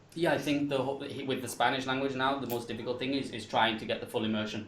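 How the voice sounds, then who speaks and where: A man speaks at a very fast pace with fairly even intonation in an English accent. Audible room echo and noticeable background noise are present. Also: medium pitch for a man. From England. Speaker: English teacher. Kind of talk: panel discussion. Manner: halting.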